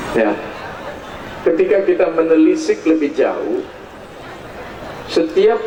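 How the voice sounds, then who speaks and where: Audible room echo and noticeable background noise accompany a man speaking. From Bali. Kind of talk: religious talk (dharma discourse). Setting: outdoor stage with audience at ceremony.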